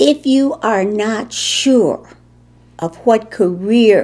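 A woman's fairly high-pitched voice with a Chicago accent. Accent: Chicago American English. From Chicago, US Midwest. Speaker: war veteran. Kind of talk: interview. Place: home room.

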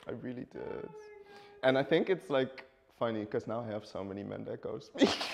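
Against light background noise, a man talks at a fairly quick pace with big swings in loudness. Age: 20s. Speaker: student. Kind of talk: casual chat. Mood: relaxed, chatty. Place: studio.

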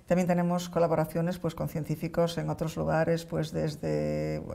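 This is a woman speaking. She has a Galician accent. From Galicia, A Coruña. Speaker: neuroscientist; guest. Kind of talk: interview. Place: studio. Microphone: lapel.

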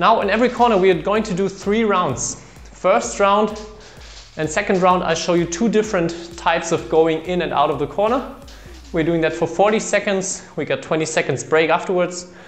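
Ordinary pitch variation and a moderate pace from a man with a high-pitched voice. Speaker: badminton coach. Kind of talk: tutorial. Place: empty room. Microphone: camera far.

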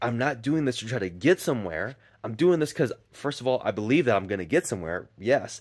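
A man talks at a fairly quick pace with lively intonation against a quiet background. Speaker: vlogger. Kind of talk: casual vlog chat. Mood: reflective, earnest. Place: garden. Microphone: phone near.

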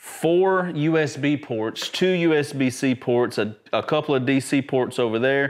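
The pace of this man's speech is fairly slow. Pitch moves up and down in an ordinary way. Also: medium pitch for a man.

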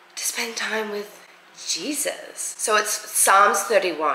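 A woman speaks at a very slow pace with ordinary pitch variation. Audible room echo and light background noise surround her voice. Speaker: vlogger. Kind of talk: casual vlog chat. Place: kitchen. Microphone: phone near.

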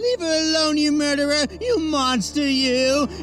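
Someone does a put-on character voice at a high pitch over clear background noise. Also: moderate pace. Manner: mock outrage, shouting.

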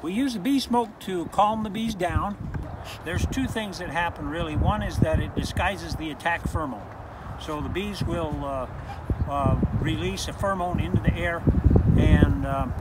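A man speaks at a moderate pace over loud background noise, the sound dry with no echo. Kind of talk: tutorial. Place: open country. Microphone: lapel.

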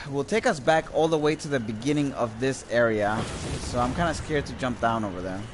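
An animated tone and lively intonation over noticeable background noise. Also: man, medium pitch for a man, fairly quick pace. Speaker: video game streamer. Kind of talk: live gameplay commentary. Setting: live stream with microphone.

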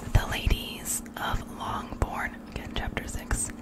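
A woman is whispering at a very slow pace. Loud background noise sits behind her. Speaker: bedtime reader. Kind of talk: soft-spoken ASMR reading. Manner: whispered reading. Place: home room. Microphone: studio mic.

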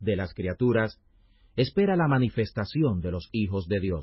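A man speaks with a somewhat breathy voice. His pace is fairly slow. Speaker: Bible audio narrator. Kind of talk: scripture reading aloud, audiobook-style narration. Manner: formal, measured, solemn; steady, even pace with little variation.

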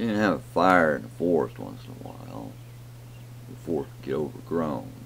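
With an American accent, a man speaks at a moderate pace in a very deep, low pitch that swings very widely. His loudness rises and falls sharply over light background noise. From rural Southern US. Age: old. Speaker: home vlogger. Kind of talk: casual talk to camera. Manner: rambling, thoughtful. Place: home room. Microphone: webcam.

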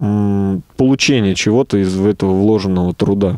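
A man with a dark, mellow tone and fairly low pitch speaks at a fairly slow pace, in a dry sound with no echo and a quiet background. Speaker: gym instructor and rehabilitation specialist; gym instructor. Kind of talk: radio interview. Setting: studio. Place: studio. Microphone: headset.

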